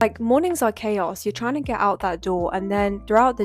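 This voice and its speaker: The speaker has a British accent and a relaxed tone. Music plays in the background. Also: woman. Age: young. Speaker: economics student and lifestyle vlogger. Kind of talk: casual talk to camera. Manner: chatty, relaxed.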